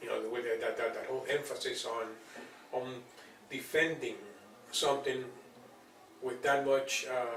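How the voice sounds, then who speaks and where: A man's speech with long, frequent pauses, audible room echo and noticeable background noise. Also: moderate pace. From Cuba (Las Tunas, eastern island). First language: Spanish. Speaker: writer and journalist. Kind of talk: interview. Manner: halting, many repetitions.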